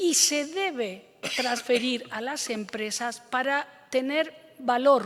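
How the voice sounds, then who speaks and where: At a very slow pace, a woman with an Andalusian accent speaks at a high pitch with ordinary pitch variation, and there is audible room echo. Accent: Andalusian (Córdoba). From Andalusia, Spain (Córdoba). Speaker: government official and professor. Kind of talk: conference talk.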